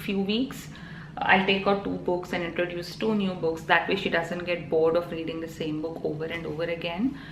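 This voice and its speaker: A woman's fairly low voice in a Telugu accent, ordinary pitch variation, with audible room echo and noticeable background noise. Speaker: vlogger. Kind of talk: casual vlog talk. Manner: hesitant, many fillers.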